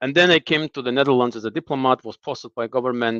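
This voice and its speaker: Against a quiet background, a man with an Azerbaijani accent talks at medium pitch, the sound dry and close with no echo. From Azerbaijan (Lankaran, south). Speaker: former diplomat in exile, analyst. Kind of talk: political discussion interview. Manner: hesitant, repeats words.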